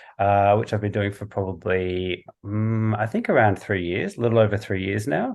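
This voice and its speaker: Monotone, flat intonation marks this moderate-paced delivery in an Australian accent, with hardly any pauses. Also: man, fairly low pitch for a man. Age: 30s. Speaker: visual artist and podcaster. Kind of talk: casual interview chat. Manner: halting, many fillers.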